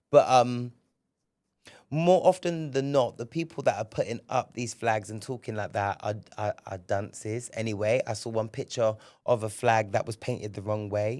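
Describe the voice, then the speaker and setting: A man with a southern England accent at a moderate pace, with ordinary pitch variation and big swings in loudness, on a very clean recording with a silent background. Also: medium pitch for a man. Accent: British English, southern England. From England, Bristol. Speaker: podcast host. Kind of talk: casual solo podcast monologue. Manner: animated, frequent repetitions and hesitations.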